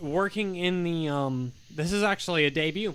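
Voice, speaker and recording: Loud and high-pitched, a man's voice comes through with a bright, sharp tone. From Michigan. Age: 30s. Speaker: singer-songwriter. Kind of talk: casual chat. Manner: animated.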